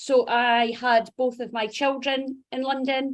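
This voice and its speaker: The speaker, in a Dundee accent, keeps a fairly even intonation. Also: woman. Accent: Dundee Scottish. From Scotland, Dundee. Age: 40s. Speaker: HR executive, fitness client. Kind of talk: interview testimony.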